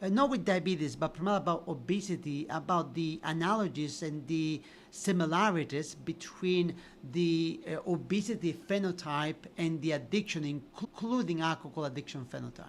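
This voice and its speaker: Speaking in an Italian accent, a man has a high pitch and ordinary pitch variation. His pace is moderate. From Italy, Sicily. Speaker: physician and addiction researcher. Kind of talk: podcast interview.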